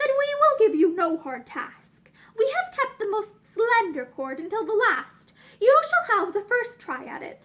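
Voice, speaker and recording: A woman's put-on character voice with an extremely high pitch and very wide pitch swings. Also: moderate pace. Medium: read story. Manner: smooth, persuasive.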